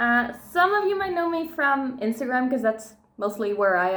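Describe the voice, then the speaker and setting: Lively intonation marks this woman's moderately paced speech, with audible room echo around it. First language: Dutch. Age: 20s. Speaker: YouTuber. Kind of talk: casual chat.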